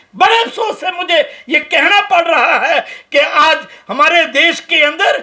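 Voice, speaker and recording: Raised and projected, the voice carries a bright, sharp tone and lively intonation. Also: man. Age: 70s. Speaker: activist. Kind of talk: press conference statement. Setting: press conference. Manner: impassioned.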